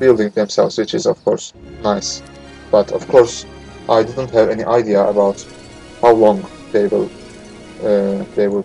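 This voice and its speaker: A man with a non-native accent, fairly low pitch, lively intonation, a moderate pace and long, frequent pauses, with music in the background. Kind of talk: game playthrough commentary. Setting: noisy home microphone. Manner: hesitant, many filler words.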